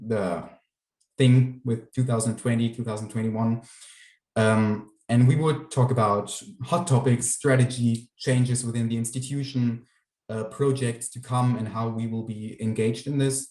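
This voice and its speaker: In a German accent, a man with a dark, mellow tone speaks with fairly even intonation. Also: medium pitch for a man, moderate pace. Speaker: youth council member. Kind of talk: presentation. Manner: halting, many fillers.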